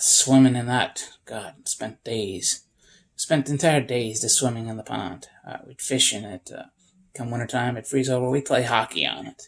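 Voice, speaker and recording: A man with a plain, everyday voice, medium pitch, an American accent and a fairly slow pace. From upstate New York. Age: 40s. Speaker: homesteader. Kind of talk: casual vlog monologue.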